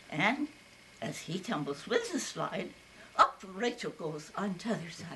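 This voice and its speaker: With an American accent, a woman speaks at a very slow pace and medium pitch over noticeable background noise. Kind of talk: poetry reading. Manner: wryly humorous.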